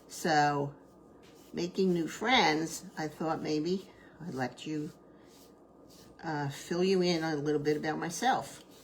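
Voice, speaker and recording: A woman with a New Jersey accent and a very deep, low pitch speaks very slowly with long, frequent pauses and ordinary pitch variation, over noticeable background noise. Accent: New Jersey American. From US Northeast, New Jersey. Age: 70s. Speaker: crafter, retired teacher. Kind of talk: live craft tutorial with chat. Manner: casual, chatty with filler words.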